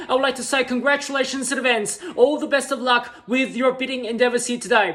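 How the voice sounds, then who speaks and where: A man's raised, projected, extremely high voice, flat and monotone, fairly quick with hardly any pauses, over noticeable background noise. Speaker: real estate auctioneer. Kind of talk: auction opening welcome speech. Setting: online and room auction, taking bids. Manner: fast, rhythmic, patter.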